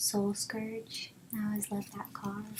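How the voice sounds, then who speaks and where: Soft-spoken, a woman talks at a medium pitch and a fairly slow pace. Noticeable background noise is present. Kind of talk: ASMR.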